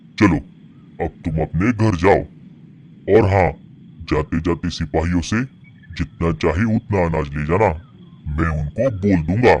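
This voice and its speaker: A man's cartoonish character voice, very deep and low in pitch, at a fairly slow pace with long, frequent pauses. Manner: calm, generous, advising.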